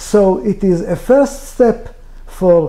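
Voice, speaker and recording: Lively intonation marks a man's dark, mellow voice with an Israeli accent. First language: Hebrew. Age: 60s. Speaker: author. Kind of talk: interview. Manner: halting.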